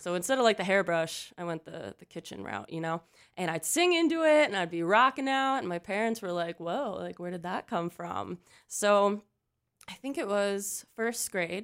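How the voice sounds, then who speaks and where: In a very clean recording with a silent background, a woman with an American accent speaks at a moderate pace and medium pitch, her intonation lively and her loudness swinging widely. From Pennsylvania, US. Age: 20s. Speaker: country pop singer-songwriter. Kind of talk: casual interview chat. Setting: radio studio. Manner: animated.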